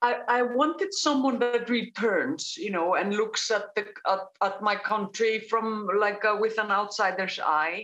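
A woman speaks in a bright, sharp tone with an Icelandic accent. Her pace is fairly slow and her loudness very even. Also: fairly high pitch for a woman, ordinary pitch variation. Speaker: crime novelist. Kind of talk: panel interview. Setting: video call.

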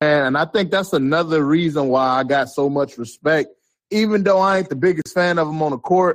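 A man talks fairly quickly, with ordinary pitch variation. His is an unremarkable speaking voice. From Chicago. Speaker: basketball fan caller. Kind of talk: casual chat.

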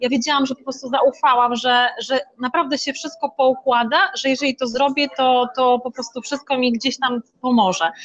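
Hardly pausing, a woman speaks at a moderate pace. Her voice is high-pitched. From Poland, Masuria (Szczytno). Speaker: motivational coach for women. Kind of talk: interview. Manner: animated.

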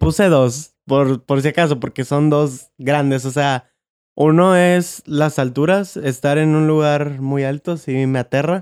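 Speaking at a very slow pace, a man uses a fairly high pitch and fairly even intonation. The recording is very clean and dry, close with no echo and a silent background. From Monterrey, Mexico. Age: 20s. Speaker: podcast co-host, graphic designer. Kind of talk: casual chat.

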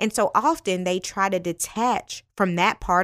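A woman with a normal speaking voice speaks at a fairly slow pace, medium in pitch with ordinary pitch variation, on a very clean recording with a silent background. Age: 30s. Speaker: podcast host. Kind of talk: faith-based motivational podcast monologue.

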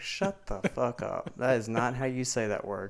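A man with a Southern US accent, medium pitch and a fairly slow pace. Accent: southern US, noticeable. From Mississippi. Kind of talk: casual chat.

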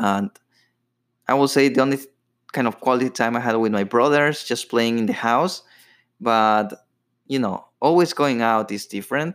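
A man with a Latin American accent at a moderate pace, with long, frequent pauses and ordinary pitch variation, in a very clean recording with a silent background. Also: medium pitch for a man. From Ecuador. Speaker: podcast host. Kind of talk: personal storytelling monologue. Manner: casual, with filler words.

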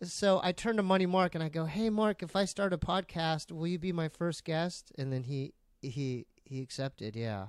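On a very clean recording with a silent background, a man with an American accent speaks at a high pitch and a moderate pace, with lively intonation and hardly any pauses, in a dry, close sound with no echo. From San Diego, California. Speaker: comedian and podcaster. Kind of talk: casual chat.

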